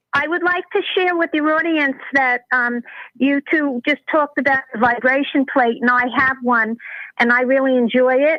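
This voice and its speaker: A woman speaks at a moderate pace with a high pitch and ordinary pitch variation. Her loudness stays very even. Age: 60s. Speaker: caller. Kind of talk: call-in question. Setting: phone call.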